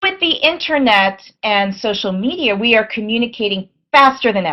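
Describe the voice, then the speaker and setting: A plain, everyday voice belongs to a woman speaking at a moderate pace with a fairly high pitch. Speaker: English language teaching educator. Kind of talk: teacher professional development presentation.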